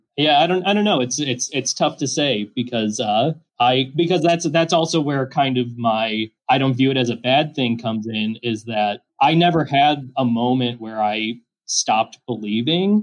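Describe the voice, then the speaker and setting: A man's ordinary speaking voice at medium pitch, moderate pace and ordinary pitch variation, with hardly any pauses. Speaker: filmmaker. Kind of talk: casual chat.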